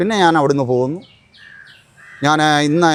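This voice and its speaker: A man speaks with ordinary pitch variation in a normal speaking voice. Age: 60s. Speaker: army veteran. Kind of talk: news interview testimony.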